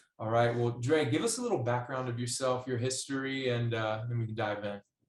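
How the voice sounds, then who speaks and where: A man with an ordinary speaking voice talks fairly quickly at a medium pitch with fairly even intonation. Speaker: podcast host. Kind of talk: podcast interview host talk.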